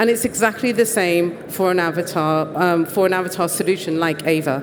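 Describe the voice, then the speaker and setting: With a British accent, the speaker keeps a moderate pace and ordinary pitch variation against noticeable background noise. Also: woman. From Britain. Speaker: conference presenter. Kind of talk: presentation talk.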